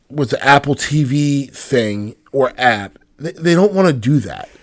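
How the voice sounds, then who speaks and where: A man with a normal speaking voice talks at a fairly slow pace. His pitch is fairly high. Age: 40s. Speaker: podcast host. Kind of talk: casual chat.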